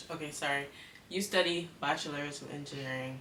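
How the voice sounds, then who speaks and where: Very deep and low in pitch, a woman talks fairly quickly with fairly even intonation. Room echo is audible, and background noise is noticeable. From Cayman Islands. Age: 20s. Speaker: student YouTuber. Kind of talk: casual interview chat.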